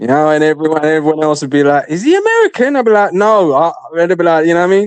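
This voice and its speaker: Talking at a very fast pace with a British accent, a man keeps a high pitch, ordinary pitch variation and very even loudness. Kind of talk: casual chat. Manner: animated.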